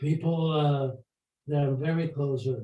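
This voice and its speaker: This man's voice sits fairly high in pitch, with a dark, mellow tone, a somewhat breathy quality and fairly even intonation. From Poland (today western Ukraine). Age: 80s+. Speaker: Holocaust survivor. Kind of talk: testimony and Q&A. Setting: video call. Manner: halting.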